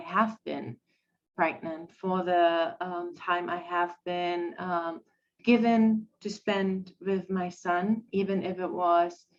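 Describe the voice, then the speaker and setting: In a German accent, a woman talks at a very slow pace with fairly even intonation. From Germany. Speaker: podcast guest. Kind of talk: personal testimony in a podcast interview. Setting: live-streamed podcast. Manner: halting, many fillers.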